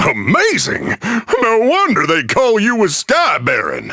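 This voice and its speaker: A man's raised, projected, put-on character voice at an extremely high pitch. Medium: video game. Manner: upbeat, hammy.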